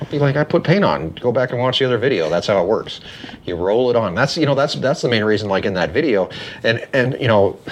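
A man with an American accent talks at a very fast pace and medium pitch. Noticeable background noise is present. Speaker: podcast host. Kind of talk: casual chat.

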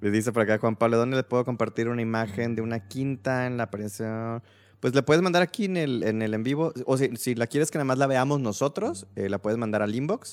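In a normal speaking voice, a man talks at a fairly quick pace with hardly any pauses, a medium pitch and ordinary pitch variation, on a very clean recording with a silent background and a dry, close sound with no echo. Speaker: podcast host. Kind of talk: casual chat. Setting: live stream.

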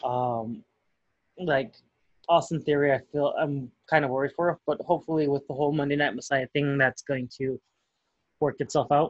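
With an American accent, a man speaks at a fairly high pitch with fairly even intonation. There are long, frequent pauses, and the sound is dry and close with no echo. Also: moderate pace. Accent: Chicago, Mexican heritage. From Chicago. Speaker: wrestling podcast co-host. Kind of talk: casual chat.

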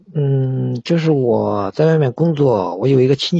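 Lively intonation from a man, an unremarkable speaking voice pitched medium. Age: 30s. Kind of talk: phone-in advice call. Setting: livestream voice link-up.

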